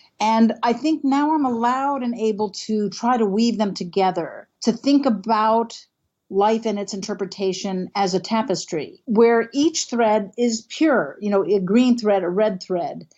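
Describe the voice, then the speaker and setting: Hardly pausing, a woman with a fairly high pitch speaks at a fairly slow pace with ordinary pitch variation in an unremarkable speaking voice. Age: 60s. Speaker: canopy ecologist and professor. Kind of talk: interview.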